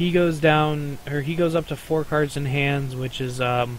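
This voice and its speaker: There is noticeable background noise throughout. The speaker is a man. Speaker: card game player. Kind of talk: casual gameplay commentary.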